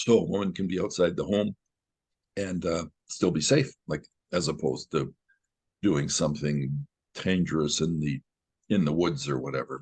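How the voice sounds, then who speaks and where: A man with a very deep, low pitch and vocal fry talks at a moderate pace with ordinary pitch variation, pausing long and often. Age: 70s. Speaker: retired lawyer and men's rights activist. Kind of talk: interview. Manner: halting.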